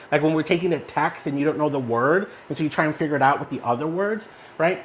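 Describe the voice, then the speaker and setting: Over noticeable background noise, a man with an American accent talks at a very fast pace in a fairly high pitch, his tone animated and his intonation lively. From Texas, small town. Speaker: online community host. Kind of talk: casual chat. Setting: online audio room.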